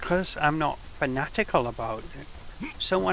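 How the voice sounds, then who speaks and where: Speaking at a fairly slow pace, a man is heard against noticeable background noise. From England. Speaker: game streamer. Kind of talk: casual gaming livestream commentary.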